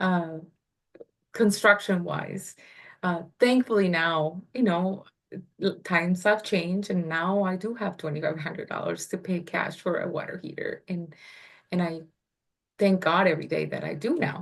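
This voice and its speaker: Pausing long and often, a woman with a non-native accent speaks at medium pitch and a moderate pace. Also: ordinary pitch variation. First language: not English. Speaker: real estate investor. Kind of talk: interview.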